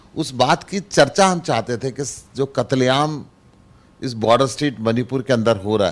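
A man's moderate-paced speech has lively intonation. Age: 60s. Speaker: politician, member of parliament; politician. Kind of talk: interview. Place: office. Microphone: handheld.

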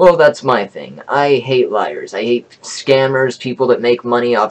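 The speaker is a man with ordinary pitch variation. He goes at a moderate pace. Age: 20s. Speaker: YouTuber sharing home remedy; self-made science vlogger. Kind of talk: reading from notes to camera. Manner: halting. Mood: indignant at the end. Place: home room. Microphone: webcam.

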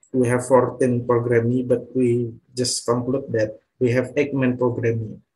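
Somewhat breathy and dark, mellow in tone, a man speaks at a medium pitch with an Indonesian accent. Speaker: student presenter; presenter. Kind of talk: presentation. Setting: video call. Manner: halting. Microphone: video call.

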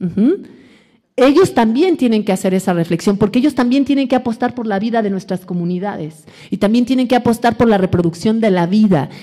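Against a quiet background, a woman talks at a fairly quick pace with a fairly high pitch and a dark, mellow, somewhat breathy tone. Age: 40s. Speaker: academic lecturer on decolonial feminism. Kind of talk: lecture. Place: hall. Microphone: podium.

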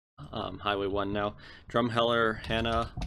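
In a monotone, flat intonation, a man speaks at a fairly low pitch. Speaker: gaming YouTuber. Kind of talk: gameplay commentary. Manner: hesitant, many filler words.

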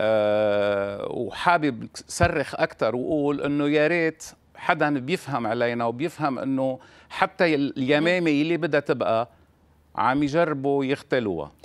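A man at a very slow pace, his pitch fairly high and its variation ordinary, over a quiet background. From Lebanon. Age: 60s. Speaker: visual artist; interviewee. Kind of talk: remote interview. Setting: remote link from Beirut. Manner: halting. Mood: emotional, bitter about crises. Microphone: lapel.

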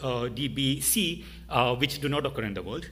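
Here a man speaks with an Indian accent. His pitch is medium and varies an ordinary amount. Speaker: AI researcher. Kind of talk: conference talk. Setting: stage with audience. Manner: fast talker; halting.

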